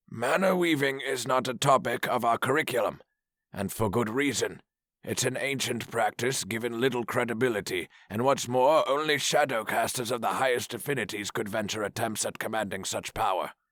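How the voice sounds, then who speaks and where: Using a put-on character voice, a man speaks at a fairly quick pace and medium pitch with ordinary pitch variation. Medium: read story. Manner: formal, commanding.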